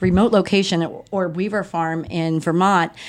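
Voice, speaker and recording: This woman has a fairly low voice and talks at a moderate pace. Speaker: podcast host. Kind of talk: interview conversation. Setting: on location at a farm. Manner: animated.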